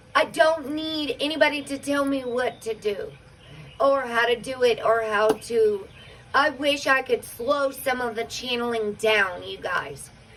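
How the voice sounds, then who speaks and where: Over noticeable background noise, a woman with a high pitch speaks at a fairly slow pace with ordinary pitch variation. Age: 40s. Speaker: spiritual livestream host. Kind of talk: casual livestream chat.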